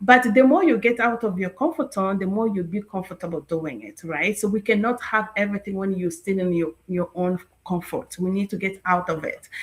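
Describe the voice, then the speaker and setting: A woman's somewhat breathy, medium-pitched voice at a fairly quick pace, with ordinary pitch variation and hardly any pauses. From Congo. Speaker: online business promoter. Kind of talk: live stream interview.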